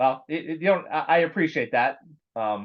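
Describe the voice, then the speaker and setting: This is a normal speaking voice with lively intonation. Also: man. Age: 50s. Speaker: metal podcast host. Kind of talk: interview. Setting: online call.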